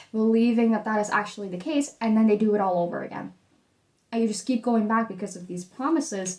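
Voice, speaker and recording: Fairly quick speech from a woman at medium pitch with a Dutch accent. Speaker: tarot reader. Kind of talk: tarot reading.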